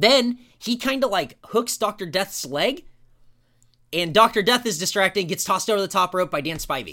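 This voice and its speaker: A man's high, bright, sharp voice, raised and projected, animated with lively intonation at a moderate pace in a very clean recording with a silent background. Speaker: podcast host and wrestling fan. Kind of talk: wrestling promo, a loud mock-Southern rant played for laughs. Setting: studio podcast. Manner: sarcastic, exaggerated.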